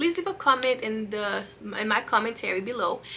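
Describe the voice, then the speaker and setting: A woman's fairly high, lively voice against noticeable background noise. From Haiti, raised in Massachusetts. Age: 30s. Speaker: vlogger. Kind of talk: casual vlog. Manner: fast. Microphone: camera mic, poor.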